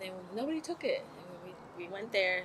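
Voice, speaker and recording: A woman's lively intonation at a moderate pace, with noticeable background noise. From Cambodia, Kampong Cham. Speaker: refugee interviewee. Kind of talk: oral history interview. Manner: halting.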